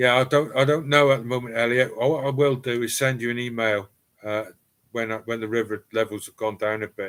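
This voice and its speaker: A man talks at a fairly quick pace with a Cornish accent. His intonation stays fairly even while his loudness swings widely. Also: medium pitch for a man. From East Cornwall, England. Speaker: live streamer, former firefighter. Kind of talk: casual live stream chat. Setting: home cellar live stream.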